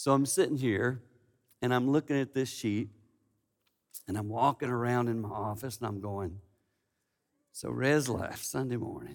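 A man talks at a moderate pace and a medium pitch, with ordinary pitch variation. He leaves long, frequent pauses. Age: 50s. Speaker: preacher. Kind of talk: sermon.

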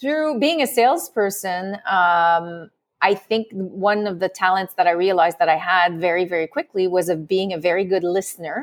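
A medium-pitched woman with a slight French accent, lively intonation, a moderate pace and hardly any pauses. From France. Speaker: love and relationship coach. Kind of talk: interview.

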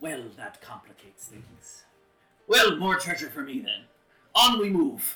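A man performs a put-on character voice pitched high. He leaves long, frequent pauses. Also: moderate pace. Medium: actual play. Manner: boastful, swaggering.

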